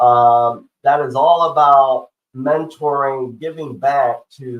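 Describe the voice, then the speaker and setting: A man is speaking. His pitch is fairly high. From Tennessee. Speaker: podcast host. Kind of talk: interview.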